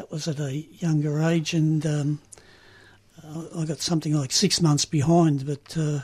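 Speaking fairly slowly in an Australian accent, a man uses a fairly high pitch and a monotone, flat intonation. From Australia, Melbourne (Richmond). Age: 70s. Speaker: recovering gambler, GA member. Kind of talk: testimony. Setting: radio studio.

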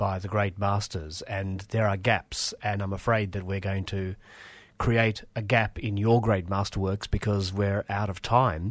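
A man with an Australian accent speaks in a fairly low, flat monotone at a fairly slow pace. The background is quiet. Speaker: community radio host. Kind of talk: casual chat. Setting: studio.

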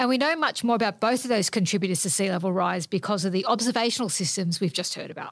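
With an Australian accent, the speaker rattles along at a very fast pace with hardly any pauses and lively intonation, on a very clean recording with a silent background. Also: woman, medium pitch for a woman. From Australia, Sydney. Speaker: climate scientist. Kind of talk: documentary narration.

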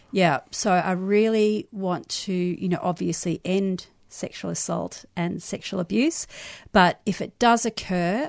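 Against a quiet background, the speaker talks at a fairly slow pace in an Australian accent with ordinary pitch variation. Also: woman. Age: 50s. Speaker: sex educator and activist. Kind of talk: radio interview.

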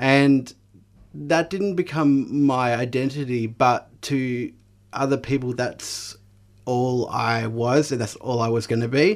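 This man talks very slowly with an Australian accent. His pitch is medium, and the recording is very clean with a silent background. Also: ordinary pitch variation. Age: 30s. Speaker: mental health peer worker and advocate. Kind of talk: radio interview, personal testimony. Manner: hesitant, many fillers.

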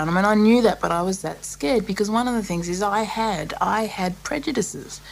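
Noticeable background noise accompanies a woman speaking at a moderate pace with an Australian accent. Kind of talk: interview. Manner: halting.

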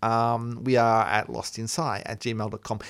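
A man speaks with an Australian accent. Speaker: science radio host. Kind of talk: casual chat. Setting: studio.

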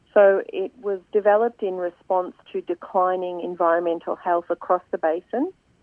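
Speaking at a moderate pace with fairly even intonation, a woman with an Australian accent holds a medium pitch. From Swan Hill, northern Victoria, Australia. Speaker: environmental campaigner. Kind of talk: radio interview.

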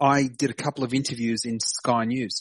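With an Australian accent, a man talks in fairly even intonation, the sound dry and close with no echo. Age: 50s. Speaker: Palestine advocacy activist. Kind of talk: casual interview. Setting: phone call.

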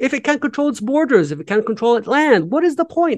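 The sound is dry and close with no echo as a man talks at a fairly quick pace. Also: quiet background. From West Bank, Palestine. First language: Arabic. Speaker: activist and educational website co-founder. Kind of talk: radio interview. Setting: radio studio or remote interview.

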